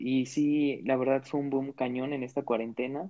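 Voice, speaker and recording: This man speaks at a fairly slow pace with a medium pitch. His intonation is monotone and flat. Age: 20s. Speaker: podcast co-host, medical student. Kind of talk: casual chat.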